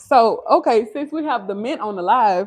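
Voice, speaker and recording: An animated woman with an American accent, her pitch swinging very widely. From Louisiana. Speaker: lifestyle vlogger. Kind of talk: casual chat. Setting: live stream in home kitchen.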